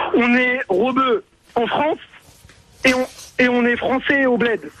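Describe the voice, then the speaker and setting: A man's extremely high-pitched voice over noticeable background noise. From Paris region, Yvelines near Trappes. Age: 20s. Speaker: caller. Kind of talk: radio call-in debate. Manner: halting, many repetitions; casual slangy.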